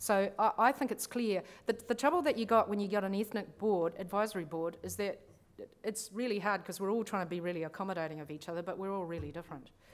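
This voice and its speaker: A woman with a New Zealand accent speaks at a very fast pace, using a medium pitch and ordinary pitch variation. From grew up in New Zealand, born abroad. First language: not English. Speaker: lawyer and conference speaker. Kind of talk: conference talk. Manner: casual, conversational.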